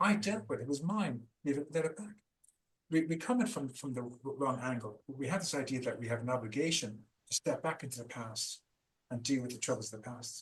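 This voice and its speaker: Somewhat breathy and with an Irish accent, a man talks at a fairly quick pace with lively intonation. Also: medium pitch for a man. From Ireland. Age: 50s. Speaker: founder of a trauma recovery program. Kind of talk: interview. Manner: animated; halting.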